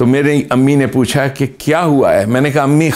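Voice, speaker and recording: The speaker goes at a fairly slow pace against a quiet background. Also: man. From Pakistan, Khyber Pakhtunkhwa. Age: 60s. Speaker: religious commentator. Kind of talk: lecture. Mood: warm, amused. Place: studio.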